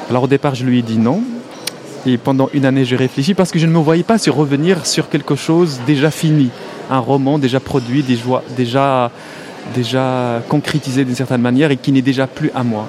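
Man's medium-pitched voice at a moderate pace, with ordinary pitch variation, very even loudness, long, frequent pauses, and noticeable background noise. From Morocco. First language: Arabic (speaking French). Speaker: film director and writer. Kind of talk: interview. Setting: festival hall.

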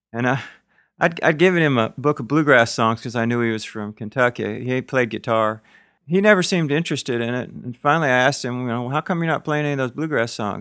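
A man speaks in an ordinary speaking voice at medium pitch, with lively intonation and a fairly quick pace. The recording is very clean, with a silent background. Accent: American. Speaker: singer-songwriter. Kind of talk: casual storytelling in interview. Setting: hotel room.

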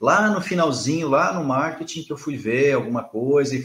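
A man with an unremarkable speaking voice, fairly high in pitch, at a moderate pace. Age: 40s. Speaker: marketing consultant for health professionals. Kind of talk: interview.

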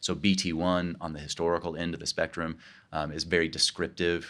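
A man with a Midwestern American accent, very deep and low in pitch, monotone and flat, at a moderate pace, on a very clean recording with a silent background. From Kansas, US Midwest. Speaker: professor of theology. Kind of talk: interview conversation. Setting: recorded at a conference.

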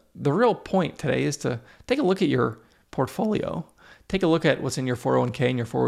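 A man with vocal fry speaks at a fairly quick pace in a fairly high pitch. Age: 30s. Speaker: podcast host. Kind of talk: solo educational podcast monologue.

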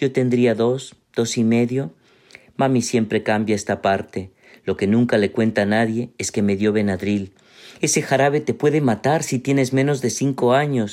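A man in an ordinary speaking voice, medium-pitched, at a moderate pace. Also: ordinary pitch variation. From Peru. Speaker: writer and literature professor. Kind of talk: reading aloud.

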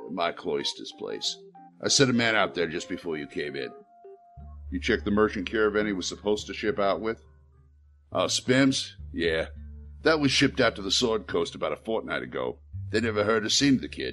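A gruff, put-on character voice from a man, fairly low in pitch with very wide pitch swings, at a moderate pace with long, frequent pauses, faint music in the background. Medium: audio drama. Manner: gruff, resigned.

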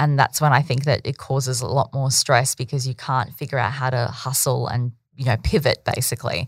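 A woman's very deep, low voice with an Australian accent, somewhat breathy, at a fairly quick pace with hardly any pauses. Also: fairly even intonation. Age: 30s. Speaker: business owner. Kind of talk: interview. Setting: podcast interview. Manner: casual, with filler words.

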